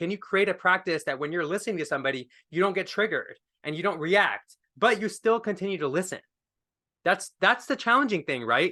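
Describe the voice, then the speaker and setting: A man with a high pitch talks in a raised, projected voice at a fairly quick pace, his pitch swinging very widely. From India. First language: not English. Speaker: wellness speaker. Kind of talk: workshop talk. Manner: casual, animated.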